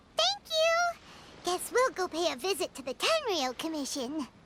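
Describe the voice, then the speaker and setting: A squeaky, put-on character voice at an extremely high pitch and a moderate pace. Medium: video game. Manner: friendly, lively.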